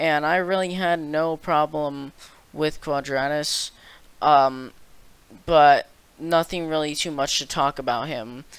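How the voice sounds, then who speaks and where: A man with a fairly high pitch and fairly even intonation speaks at a very slow pace. Long, frequent pauses mark this very clean recording with a silent background. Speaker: gaming YouTuber. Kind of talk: game commentary voiceover. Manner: monotone.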